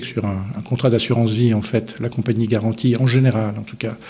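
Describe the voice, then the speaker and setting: At a very fast pace, a man speaks in a dark, mellow, somewhat breathy tone. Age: 60s. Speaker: insurance investment director. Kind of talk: interview.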